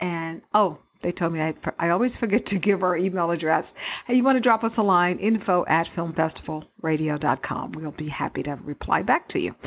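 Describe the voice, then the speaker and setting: A woman speaks with an American accent at a fairly low pitch. Her pace is fairly quick, with ordinary pitch variation. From Texas. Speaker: radio host. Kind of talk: radio interview show. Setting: studio. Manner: animated.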